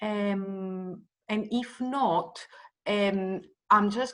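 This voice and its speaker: The speaker has a Greek accent. The intonation stays fairly even. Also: woman. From Greece. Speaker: event host. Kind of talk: event moderation. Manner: halting, many fillers.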